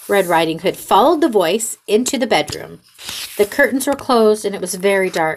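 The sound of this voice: The voice reads in an unforced way. Its intonation rises and falls in a lively manner.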